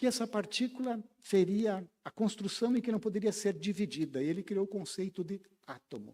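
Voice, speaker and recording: Here a man's dark, mellow voice sits high in pitch, moving at a moderate pace with ordinary pitch variation. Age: 60s. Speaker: spiritist lecturer. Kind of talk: lecture.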